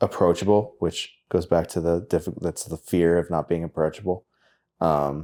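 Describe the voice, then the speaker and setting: A man speaks in a very deep, low voice with a dark, mellow tone, monotone and flat. His pace is moderate, and the recording is very clean with a silent background. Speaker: singer-songwriter. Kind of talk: casual chat.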